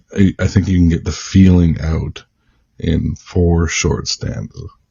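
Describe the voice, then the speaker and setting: With a Canadian accent, a man speaks fairly slowly in a very deep, low voice that is somewhat breathy, his intonation fairly even. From Canada. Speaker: writer and poet. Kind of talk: interview conversation. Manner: hesitant, many fillers.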